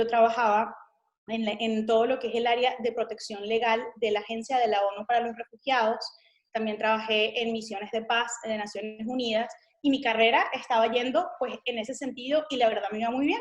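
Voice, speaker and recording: A woman speaks with a Venezuelan accent. Her pitch is fairly high and her intonation fairly even. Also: fairly quick pace. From Venezuela, Caracas. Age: 30s. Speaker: missionary. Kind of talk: interview testimony.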